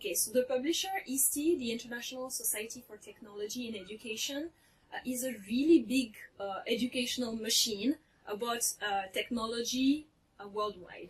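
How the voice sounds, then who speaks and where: A woman with a high pitch and ordinary pitch variation talks at a fairly quick pace, her loudness swinging widely. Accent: French. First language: French. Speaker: teacher and author. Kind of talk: interview.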